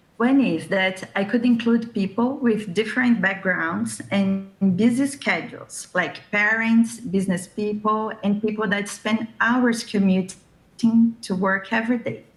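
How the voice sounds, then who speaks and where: With a Brazilian accent, a woman speaks at a fairly slow pace in a fairly high, somewhat breathy voice with fairly even intonation. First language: Brazilian Portuguese. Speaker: discussion circle host and translator. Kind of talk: prepared talk. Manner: scripted, steady pace.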